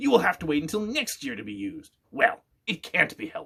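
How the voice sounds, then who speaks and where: A man speaks in a put-on character voice pitched fairly high. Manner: gentle, not unkind.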